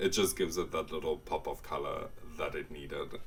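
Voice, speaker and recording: Noticeable background noise sits behind the speech. The man keeps a moderate pace. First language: Afrikaans. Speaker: gaming YouTuber. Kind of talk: casual voiceover commentary. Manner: casual, hesitant.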